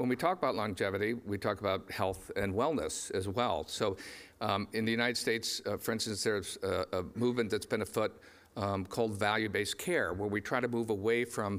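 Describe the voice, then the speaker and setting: A man with a plain, everyday voice speaks at a fairly low pitch with ordinary pitch variation and very even loudness. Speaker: conference moderator. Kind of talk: conference introduction speech. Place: stage.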